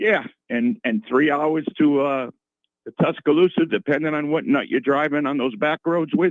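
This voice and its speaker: A man speaks with a Boston accent at a moderate pace. His pitch is fairly high, with ordinary variation. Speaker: retired sports broadcaster. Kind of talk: radio interview. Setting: radio studio. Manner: halting, many repeats.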